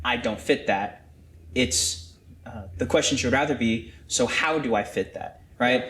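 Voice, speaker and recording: There's vocal fry in this man's medium-pitched voice. He goes at a fairly slow pace with lively intonation. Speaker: church staff member on podcast panel. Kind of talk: casual discussion podcast. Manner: loud; halting.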